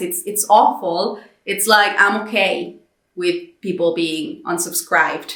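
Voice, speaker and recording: A woman speaks in a Spanish accent, with audible room echo around her. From Mexico. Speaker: content creator. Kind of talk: personal vlog monologue. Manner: frequent fillers and repetitions.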